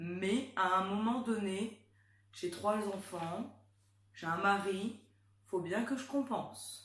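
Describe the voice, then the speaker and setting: A woman speaks at a very slow pace with long, frequent pauses. Her pitch is medium, with ordinary pitch variation. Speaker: YouTuber, mother. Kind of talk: casual chat.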